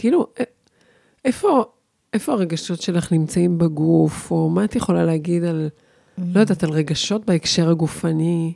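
At a moderate pace, a woman speaks in a fairly low, dark, mellow voice with ordinary pitch variation, recorded with a dry, close sound and no echo. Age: 50s. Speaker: podcast host, body-based communication coach. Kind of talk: casual chat.

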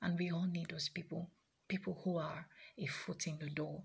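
A woman with a fairly low pitch speaks in a somewhat breathy voice, keeping her intonation fairly even. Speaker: sex therapist. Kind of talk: personal storytelling monologue.

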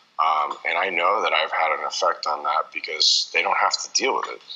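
Noticeable background noise surrounds the recording. Through it, a man speaks at a moderate pace. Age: 30s. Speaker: apparel entrepreneur and athlete agent. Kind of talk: interview. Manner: halting, many fillers.

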